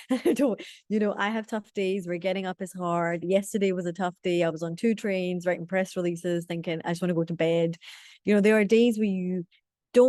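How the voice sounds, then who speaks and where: In a Scottish accent, a woman with a dark, mellow tone talks at a fairly quick pace and medium pitch with ordinary pitch variation, the sound dry and close with no echo and the background quiet. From Scotland. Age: 30s. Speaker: community leader. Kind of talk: webinar talk. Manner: animated.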